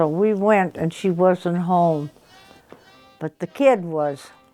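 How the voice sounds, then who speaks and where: A woman's fairly low voice with ordinary pitch variation, music in the background. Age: 90s. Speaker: storyteller. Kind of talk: interview. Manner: halting.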